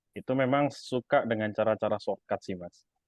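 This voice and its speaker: Speaking in a Javanese accent, a man keeps a moderate pace and ordinary pitch variation. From East Java, Indonesia. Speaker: stock investor and YouTuber. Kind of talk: interview. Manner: casual, hesitant with fillers.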